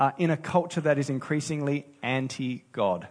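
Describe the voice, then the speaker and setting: Against a quiet background, a man talks with an Australian accent. His voice sits at a medium pitch. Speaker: pastor. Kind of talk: sermon.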